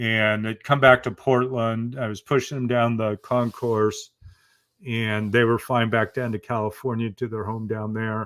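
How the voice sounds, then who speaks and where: This man speaks at a medium pitch in a very clean recording over a silent background. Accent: American. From Oregon, US. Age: 60s. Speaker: motivational speaker and author. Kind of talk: interview testimony.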